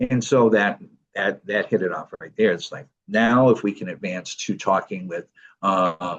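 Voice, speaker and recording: Moderately paced male speech. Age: 60s. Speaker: living kidney donor and nonprofit founder. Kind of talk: podcast interview. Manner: hesitant, many fillers.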